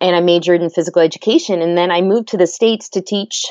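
In a Maritime Canadian accent, a woman speaks at a very fast pace with a fairly low pitch. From Nova Scotia, Canada. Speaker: kinesiology PhD and former PE teacher. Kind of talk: interview.

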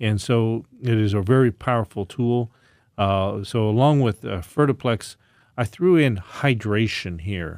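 A plain, everyday voice at a fairly slow pace, with ordinary pitch variation, on a very clean recording with a silent background and dry, close sound with no echo. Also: man, medium pitch for a man. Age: 60s. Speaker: naturopathic doctor and natural products maker. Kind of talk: casual chat.

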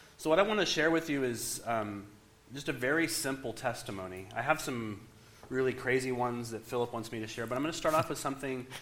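In an American accent, a man talks at a very fast pace and medium pitch, with audible room echo. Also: ordinary pitch variation. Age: 40s. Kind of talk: sermon.

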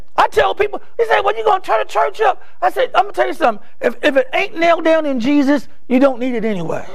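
With an American accent, a man talks in an animated tone. His pitch swings very widely over noticeable background noise. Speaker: preacher. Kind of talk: sermon; revival-style sermon, preaching to a live congregation. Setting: church. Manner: animated, fervent, pulpit-pounding delivery with call-and-response; exhortative, urgent, rising and falling intensity.

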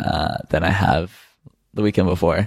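A man's very deep, low voice with vocal fry, at a moderate pace. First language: French. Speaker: podcast co-host, designer. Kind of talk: casual chat. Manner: frequent fillers like 'um' and 'like'.

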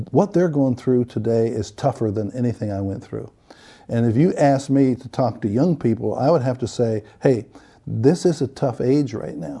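Dark, mellow tone with lively intonation at a moderate pace, in an American accent against a quiet background. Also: man, medium pitch for a man. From northwestern Pennsylvania, rural. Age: 70s. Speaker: retired pastor. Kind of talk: interview.

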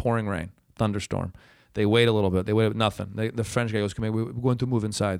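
Over a silent background on a very clean recording, the speaker's intonation stays fairly even. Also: man. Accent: American. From Michigan, US. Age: 30s. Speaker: former pro tennis player and comedian. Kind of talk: casual chat.

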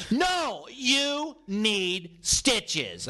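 Putting on a character voice, a man speaks in a high pitch with very wide pitch swings. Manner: loud, insistent.

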